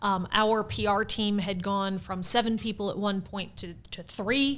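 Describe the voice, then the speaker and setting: This woman has an American accent and a normal speaking voice at medium pitch. She talks fairly slowly with fairly even intonation. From US Midwest, St. Louis. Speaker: theater marketing director, former PR professional. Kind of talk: podcast interview.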